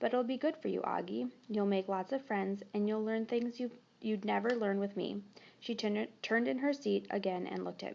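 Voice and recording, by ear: A person reads aloud using a natural voice.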